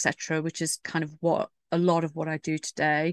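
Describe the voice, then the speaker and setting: Against a quiet background, the speaker talks at a fairly quick pace. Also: woman. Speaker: writer and PR consultant. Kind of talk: casual interview chat.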